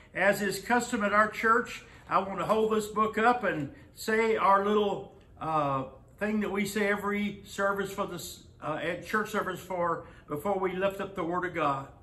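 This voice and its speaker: A raised, projected voice at a moderate pace with fairly even intonation. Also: man. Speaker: pastor. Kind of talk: sermon. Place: church. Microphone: camera far.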